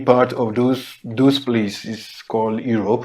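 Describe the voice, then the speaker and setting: With a non-native accent, a man speaks fairly slowly in a dark, mellow tone with fairly even intonation. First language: not English. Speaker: podcast co-host. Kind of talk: casual discussion.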